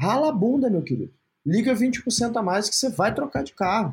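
A man speaks at a fairly quick pace with a high pitch. His intonation is lively. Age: 30s. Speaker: entrepreneur. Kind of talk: interview.

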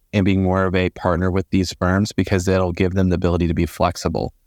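Recorded very cleanly against a silent background, a man speaks with a very deep, low pitch and an American accent in a dry, close sound with no echo. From Florida. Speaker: recruitment outsourcing director. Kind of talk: interview.

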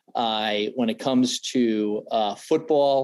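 A man speaks in an unremarkable speaking voice at a medium pitch, with ordinary pitch variation. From Boston area, Massachusetts. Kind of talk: casual interview.

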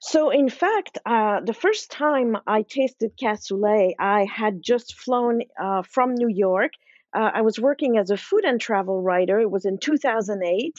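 A woman with a slight French accent speaks at a fairly high pitch with ordinary pitch variation. Her pace is fairly slow, with hardly any pauses and very even loudness. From Switzerland. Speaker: food author. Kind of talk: interview.

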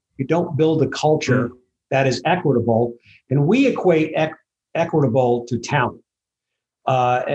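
A man with an American accent talks at a fairly quick pace, his medium-pitched voice somewhat breathy and his intonation fairly even.

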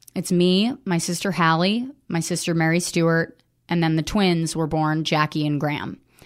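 Over a silent background in a very clean recording, a woman with an American accent speaks in a plain, everyday voice, fairly low in pitch with ordinary variation, at a moderate pace and very even loudness. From US, wealthy area. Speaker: comedian and writer. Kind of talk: personal testimony interview.

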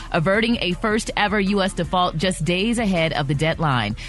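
Over music in the background, a woman speaks at a moderate pace in a medium-pitched voice. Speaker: radio news reader. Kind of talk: news reading. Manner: clear, formal.

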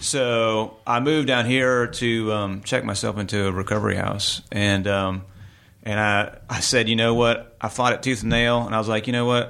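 A man speaks at a moderate pace and medium pitch, his tone bright and sharp and his intonation fairly even. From Virginia (Richmond), US. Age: 40s. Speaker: musician and music school director. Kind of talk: casual interview chat.

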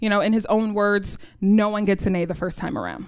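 On a very clean recording with a silent background, a woman speaks with a New York accent at a medium pitch. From New York City, Queens. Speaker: high school chemistry teacher. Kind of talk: live storytelling. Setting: stage with audience.

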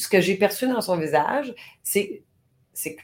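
Intonation is lively throughout. The woman holds a moderate pace. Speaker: podcast co-host. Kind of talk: casual chat. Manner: voice carries when passionate.

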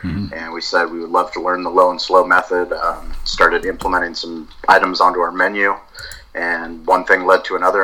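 A man is speaking. He goes at a fairly quick pace. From US West Coast, San Diego. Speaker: barbecue restaurant owner and podcaster. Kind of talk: interview conversation.

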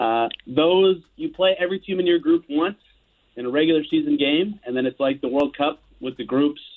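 A man with a plain, everyday voice, fairly high in pitch with ordinary pitch variation, speaks at a moderate pace. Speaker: sportswriter and podcaster covering basketball. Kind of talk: sports radio interview.

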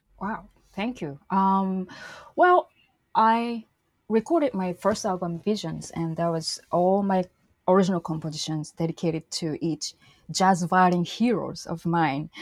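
A woman with a normal speaking voice talks at a fairly slow pace and medium pitch with ordinary pitch variation, in a very clean recording with a silent background and a dry, close sound with no echo. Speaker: jazz violinist. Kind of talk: interview conversation.

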